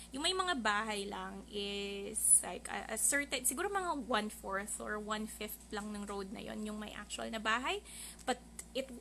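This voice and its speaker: A woman speaks in a Filipino accent at a moderate pace. Background noise is noticeable. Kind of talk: casual podcast live stream talk.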